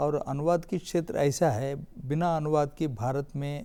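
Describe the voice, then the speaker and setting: A man speaks with a Telangana accent. His tone is dark and mellow, with ordinary pitch variation. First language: Telugu (speaking Hindi). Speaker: literary academy official. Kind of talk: TV panel discussion. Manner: halting.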